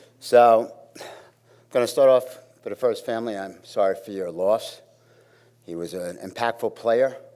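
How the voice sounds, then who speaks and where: On a very clean recording with a silent background, a man with a Brooklyn accent speaks at a moderate pace. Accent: New York (Brooklyn). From Brooklyn, New York. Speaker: fitness staff member. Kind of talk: memorial eulogy. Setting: auditorium memorial gathering.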